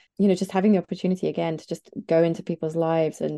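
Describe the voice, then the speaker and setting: A woman's fairly low, dark and mellow voice in an East Midlands accent, very fast and monotone, with a dry, close sound with no echo and a quiet background. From England, near Nottingham. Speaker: journalist and podcaster. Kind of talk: interview conversation.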